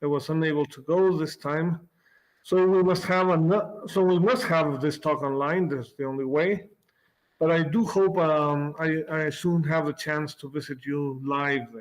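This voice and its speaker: This man's voice sits fairly high, moving at a fairly slow pace with ordinary pitch variation. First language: Spanish. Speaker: physics professor. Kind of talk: lecture. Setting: video call. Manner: halting, with repeated words.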